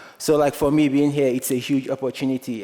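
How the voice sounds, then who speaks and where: A man with a Nigerian accent at a fairly quick pace, in a monotone, flat intonation. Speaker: student filmmaker. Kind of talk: award acceptance speech.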